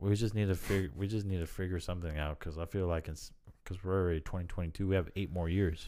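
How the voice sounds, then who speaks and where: In a very clean recording with a silent background, a man with an American accent and a very deep, low pitch speaks at a very fast pace with fairly even intonation. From Japan (US naval base, Yokosuka). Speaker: car dealership worker, guest. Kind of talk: casual chat. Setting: at host's home. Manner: relaxed, casual.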